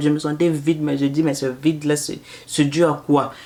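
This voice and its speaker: A woman speaks in a very deep, low pitch. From Canada, Congolese-Brazzaville family. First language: Lari (speaking French). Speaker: mother and postpartum services vlogger. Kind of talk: casual storytelling vlog. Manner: repetitive, hesitant.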